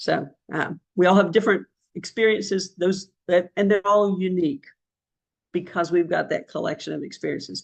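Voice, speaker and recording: This woman speaks with a Southern US accent at a medium pitch and a moderate pace. Her voice has vocal fry, and her intonation stays fairly even. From US South. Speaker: senior government leader. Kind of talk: panel discussion.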